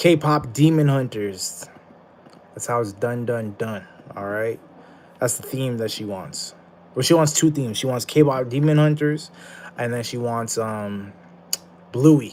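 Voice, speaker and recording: At a fairly slow pace full of long, frequent pauses, a man talks at medium pitch with ordinary pitch variation and big swings in loudness. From Canada (Ottawa). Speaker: streamer. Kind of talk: live stream chat. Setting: live stream. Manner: casual.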